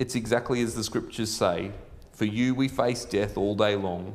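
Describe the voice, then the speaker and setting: The man speaks at a moderate speed. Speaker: pastor and school chaplain. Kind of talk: sermon. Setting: church. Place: church. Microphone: lapel.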